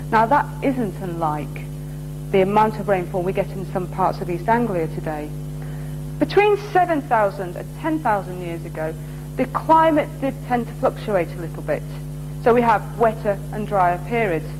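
A woman's voice with big swings in loudness over music in the background. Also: moderate pace. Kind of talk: interview answer. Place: workshop.

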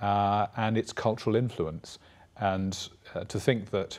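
A man speaks in a Welsh accent at a fairly low pitch. His intonation is monotone and flat. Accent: Welsh-tinged British English. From Wales. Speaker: priest and university dean; priest. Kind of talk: TV interview. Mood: calm, thoughtful. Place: studio.

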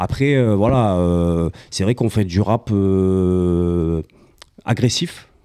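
A man speaks very slowly with a very deep, low pitch and a dark, mellow tone. His loudness stays very even, his pitch varies in an ordinary way, and the background is quiet. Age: 40s. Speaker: beatmaker and sound engineer; guest. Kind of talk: casual chat. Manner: halting. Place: home room. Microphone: handheld.

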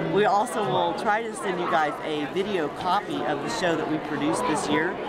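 With crowd noise in the background, a woman talks at a moderate pace with ordinary pitch variation. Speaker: voice actor; middle school drama teacher. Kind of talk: fundraising appeal. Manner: casual, friendly. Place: hall. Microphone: phone near.

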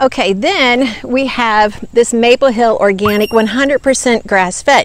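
Her pace is fairly slow, and her pitch sits fairly high. The woman's pitch moves with ordinary variation.

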